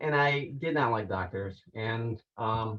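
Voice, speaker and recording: Somewhat breathy man's voice at medium pitch with fairly even intonation. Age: 60s. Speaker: cancer survivor sharing health product testimonial. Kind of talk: testimony. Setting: group conference call. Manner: hesitant, many fillers and repeats.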